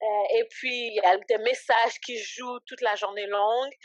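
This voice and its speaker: A woman with an unremarkable speaking voice talks at a fairly slow pace, with a fairly high pitch, ordinary pitch variation and a dry, close sound with no echo. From Canada, raised from age 7 (born in Haiti). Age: 20s. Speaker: ministry founder and entrepreneur. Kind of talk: podcast interview. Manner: casual, filler-heavy speech.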